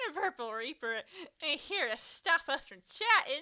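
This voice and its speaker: In a put-on character voice, a woman speaks high and whiny, raised and projected. Her pitch swings very widely. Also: moderate pace. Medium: read story. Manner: slurred, swings between cheer, whining and rage.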